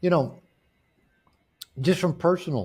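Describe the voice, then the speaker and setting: The voice is somewhat breathy and moves at a moderate pace on a very clean recording with a silent background. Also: man. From US Pacific Northwest, Seattle area. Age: 60s. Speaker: author and men's coach. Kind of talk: interview. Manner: halting, frequent word repetitions.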